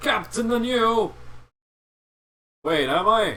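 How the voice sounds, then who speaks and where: The intonation is lively in this put-on character voice. It comes out raised and projected. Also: man, high pitch for a man. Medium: actual play. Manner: grumpy, insulting.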